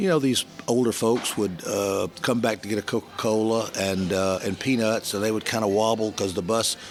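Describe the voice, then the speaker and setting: A man speaks with an American accent at a fairly low pitch. Noticeable background noise runs under his voice. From US South, Georgia (Columbus/Atlanta). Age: 70s. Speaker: business networker. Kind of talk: interview storytelling.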